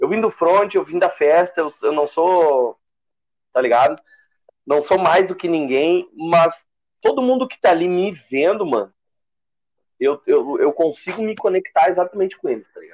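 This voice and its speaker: A man's high voice in a Rio Grande do Sul accent, with lively intonation, long, frequent pauses and big swings in loudness. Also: moderate pace. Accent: Rio Grande do Sul Brazilian Portuguese. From southern Brazil, Gravataí. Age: 20s. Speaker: DJ. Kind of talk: casual chat.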